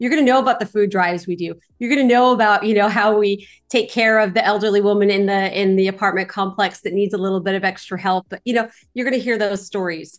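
Against a quiet background, a woman talks very fast in an animated tone at medium pitch. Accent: Californian. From Los Angeles, California. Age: 40s. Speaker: real estate investor. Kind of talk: interview.

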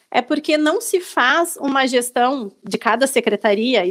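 A woman's high-pitched voice with lively intonation, on a very clean recording with a silent background. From Rio Grande do Sul, Brazil (small town near Gravataí). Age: 30s. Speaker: small business owner and civic volunteer. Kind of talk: podcast interview.

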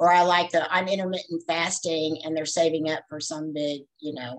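Using an ordinary speaking voice, a woman talks at a moderate pace with fairly low pitch and fairly even intonation. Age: 60s. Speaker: fitness trainer and bodybuilder. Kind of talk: casual chat.

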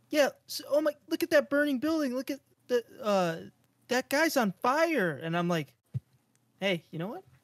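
A man speaks at an extremely high pitch with very wide pitch swings and a moderate pace. Long, frequent pauses break up his speech, and the sound is dry and close, with no echo. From Japan. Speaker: podcast co-host. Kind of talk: casual chat.

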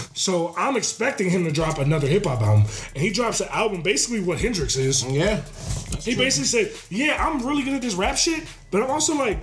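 A man's high-pitched voice at a very fast pace, with very wide pitch swings and very even loudness, amid noticeable background noise and audible room echo. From Maryland. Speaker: former pro football player. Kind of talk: casual chat.

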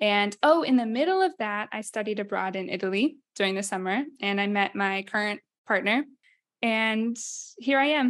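A woman's normal speaking voice, fairly high in pitch, with ordinary pitch variation, a moderate pace and a quiet background. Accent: American. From Iowa. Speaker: podcast co-host. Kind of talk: casual chat. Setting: studio.

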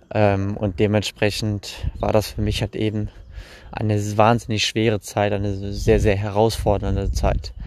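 Fairly slow, fairly low-pitched male speech with monotone, flat intonation. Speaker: podcaster. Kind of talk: personal storytelling monologue. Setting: outdoors, recorded while walking. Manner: halting, many fillers.

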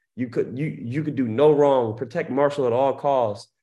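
With an American accent, this voice moves at a fairly slow pace, with ordinary pitch variation and a dark, mellow tone. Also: man. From Baltimore, US. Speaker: reality TV cast member. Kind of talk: interview.

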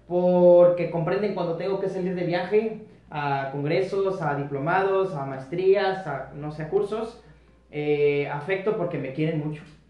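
Pitched high for a man, this speaker moves at a fairly slow pace with ordinary pitch variation, amid audible room echo and noticeable background noise. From northern Mexico (Monterrey, raised in Reynosa). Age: 30s. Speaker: aesthetic medicine doctor. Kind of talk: interview.

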